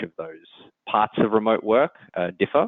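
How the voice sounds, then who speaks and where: A man talks at a fairly quick pace. He has an Australian accent. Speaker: engineering executive. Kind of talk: interview. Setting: podcast.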